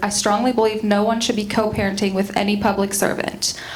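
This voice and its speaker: Noticeable background noise and audible room echo surround a woman talking at a fairly quick pace in a medium pitch with monotone, flat intonation. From Quebec (near Montreal). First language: French. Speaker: school board candidate. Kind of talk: candidate forum opening statement.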